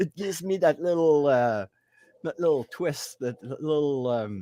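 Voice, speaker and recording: A man with a French accent speaks at a fairly slow pace in a fairly high pitch, his tone dark and mellow. His intonation is lively, and the sound is dry and close with no echo. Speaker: paranormal investigator. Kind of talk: interview. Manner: halting.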